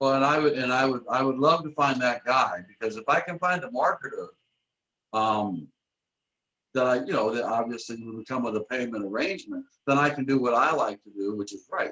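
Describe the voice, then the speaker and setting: A man with an American accent speaks at a fairly quick pace and a medium pitch. His tone is bright and sharp, with ordinary pitch variation. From Michigan, US. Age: 60s. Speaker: author and publisher. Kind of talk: casual interview.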